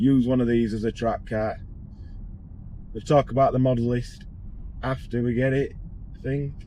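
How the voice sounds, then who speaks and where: A man talks with a Yorkshire accent. His pace is moderate. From northern England, Barnsley, South Yorkshire. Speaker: car tuning workshop owner and vlogger. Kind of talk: casual vlog. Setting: in a car. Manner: casual, rambling.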